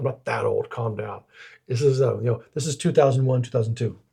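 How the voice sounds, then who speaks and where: This man talks at a very fast pace with a medium pitch and ordinary pitch variation. His tone is dark and mellow, and somewhat breathy. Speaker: podcast co-host. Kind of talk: casual chat. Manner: halting, repeats words.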